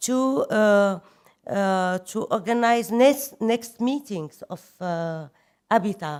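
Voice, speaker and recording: In a very clean recording with a silent background, a woman with a non-native accent talks at a very slow pace, her fairly high voice carrying lively intonation. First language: French. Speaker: government official. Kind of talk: conference speech. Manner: halting.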